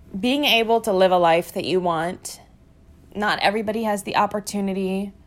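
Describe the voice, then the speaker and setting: A woman's voice with ordinary pitch variation comes through in a very clean recording with a silent background. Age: 20s. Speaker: podcast host. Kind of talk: personal monologue. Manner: casual.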